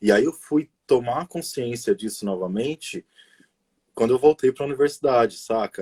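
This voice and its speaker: The somewhat breathy voice has a dark, mellow tone, a moderate pace and ordinary pitch variation, in a dry, close sound with no echo. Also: man, medium pitch for a man. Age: 30s. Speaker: educator, pedagogue. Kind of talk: casual interview on a live stream. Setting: online live stream.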